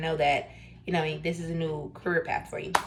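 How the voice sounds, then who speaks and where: A woman speaks very rapidly as noticeable noise carries on behind her. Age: 20s. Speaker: new real estate agent, vlogger. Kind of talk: casual vlog talk to camera. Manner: casual, filler-heavy, conversational.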